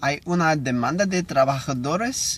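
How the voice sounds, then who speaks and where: Speaking fairly slowly, a man with an English accent uses a fairly high pitch. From United States. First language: English (speaking Spanish). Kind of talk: reading aloud. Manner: halting.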